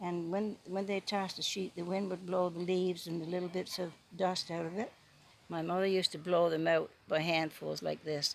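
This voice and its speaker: With a Newfoundland accent, the speaker goes at a moderate pace in a monotone, flat intonation. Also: woman, fairly low pitch for a woman. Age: 80s+. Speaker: storyteller. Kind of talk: casual talk to camera, reminiscence.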